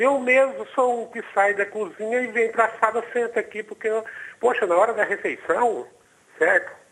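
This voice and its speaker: Using fairly even intonation, a man speaks at a moderate pace in an extremely high pitch. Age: 60s. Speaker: caller. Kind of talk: phone-in question. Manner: halting.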